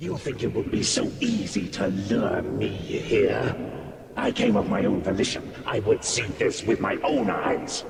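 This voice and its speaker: In a put-on character voice, a man speaks at a moderate pace with a clear echo and clear background noise. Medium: machinima. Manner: haughty.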